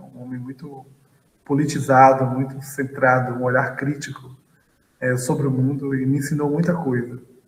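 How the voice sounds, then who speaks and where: A man with a northeastern Brazilian accent speaks at a moderate pace and medium pitch, his intonation monotone and flat while his loudness swings widely. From Bahia, Brazil (Feira de Santana). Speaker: physics professor and astrophysicist. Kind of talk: interview.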